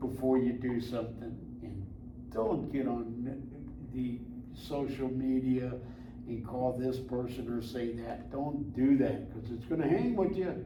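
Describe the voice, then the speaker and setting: A man amid noticeable background noise, with audible room echo. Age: 80s+. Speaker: military veteran. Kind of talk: interview. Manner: casual, folksy.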